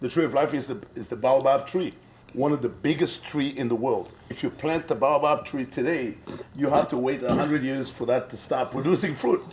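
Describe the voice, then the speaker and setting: A man talks at a fairly quick pace in a fairly high voice. His intonation stays fairly even, with noticeable background noise. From Burkina Faso. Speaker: brewery co-owner. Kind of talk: interview.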